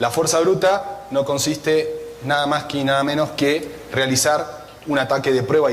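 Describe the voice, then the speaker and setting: Music plays in the background, and the room echo is audible. The speaker has an Argentine accent and a fairly slow pace. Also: man. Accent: Argentine (Rioplatense) Spanish. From Argentina, Buenos Aires. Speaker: cybersecurity analyst. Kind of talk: conference talk.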